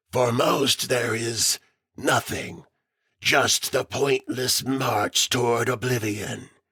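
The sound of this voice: A raspy, put-on character voice from a man, medium in pitch, at a very slow pace.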